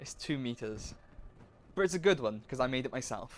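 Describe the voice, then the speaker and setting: Speaking at a fairly quick pace, a man talks with a British accent. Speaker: livestreamer and student. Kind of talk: casual livestream commentary while working. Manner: slurred speech; halting, many fillers and restarts.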